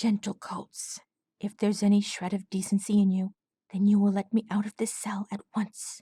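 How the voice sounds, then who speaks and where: Putting on a character voice, a woman speaks breathily at a moderate pace, her medium pitch held in a monotone, flat intonation. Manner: pleading, formal.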